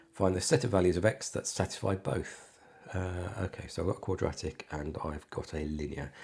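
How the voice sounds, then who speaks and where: In a very clean recording with a silent background, a man with a British accent speaks in a very deep, low pitch with a dark, mellow tone that is somewhat breathy. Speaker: maths tutor. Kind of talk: maths tutorial walkthrough. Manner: casual, conversational.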